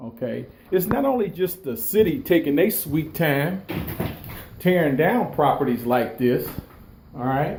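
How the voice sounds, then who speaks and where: Over noticeable background noise, a man with a fairly high pitch speaks at a fairly slow pace with lively intonation and long, frequent pauses. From Detroit, west side. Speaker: video blogger. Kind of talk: walkthrough vlog. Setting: inside vacant house. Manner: loud.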